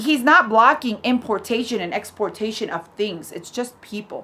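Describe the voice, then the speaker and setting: With noticeable background noise behind her, a woman talks at a fairly high pitch in a Spanish accent. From Ecuador. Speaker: vlogger and ministry worker. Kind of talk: casual opinion vlog. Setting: at home with dad and dog nearby. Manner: halting, with repeated words and fillers.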